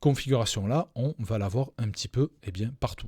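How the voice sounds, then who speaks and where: On a very clean recording with a silent background and a dry, close sound with no echo, a man speaks very slowly at medium pitch, somewhat breathy, with a dark, mellow tone and ordinary pitch variation. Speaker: crypto trading educator. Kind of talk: live stream chart analysis. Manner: hesitant, many fillers.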